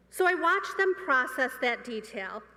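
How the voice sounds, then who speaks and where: A woman with an American accent speaks in a raised, projected voice. Her pitch swings very widely over noticeable background noise. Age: 50s. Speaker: student speaker. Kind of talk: commencement speech. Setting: stage with audience.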